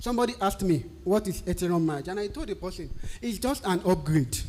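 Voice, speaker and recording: Speaking with a Nigerian accent, a man has a high pitch and a dark, mellow tone. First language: a Nigerian language. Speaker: technical writer. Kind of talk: tutorial.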